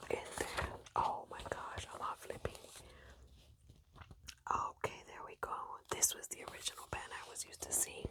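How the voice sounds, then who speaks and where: Whispering in a gentle tone at a moderate pace, a woman leaves long, frequent pauses and swings widely in loudness over noticeable background noise. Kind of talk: ASMR magazine page-flipping, casual talk to camera. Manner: soft-spoken, gentle.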